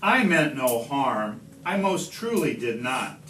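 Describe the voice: Amid audible room echo, a man speaks slowly in a fairly bright tone with big pitch swings.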